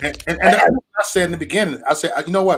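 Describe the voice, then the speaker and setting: Words pour out very fast from a man with an American accent. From US Midwest, Chicago area. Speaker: political live streamer, activist. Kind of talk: casual chat.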